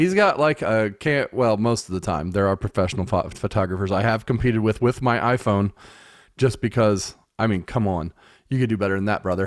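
Recorded very cleanly against a silent background, a man with a normal speaking voice and fairly low pitch talks at a fairly quick pace. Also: ordinary pitch variation. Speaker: father and podcast host. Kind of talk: casual family chat.

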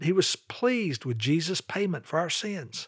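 A man with a Southern US accent, lively intonation, and a moderate pace, on a very clean recording with a silent background. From US South, North Carolina (Charlotte). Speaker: evangelism ministry leader. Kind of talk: religious teaching podcast.

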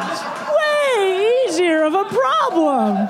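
A woman speaks at an extremely high pitch. Noticeable background noise can be heard. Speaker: comedian. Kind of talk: comedy debate. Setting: stage with audience.

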